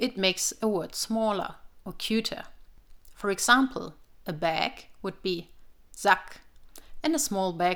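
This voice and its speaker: A woman with a German accent speaks at a medium pitch and a fairly slow pace, with ordinary pitch variation and long, frequent pauses, on a very clean recording with a silent background. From northern Germany, village near Hamburg. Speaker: linguistics researcher. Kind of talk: personal audio piece then casual conversation.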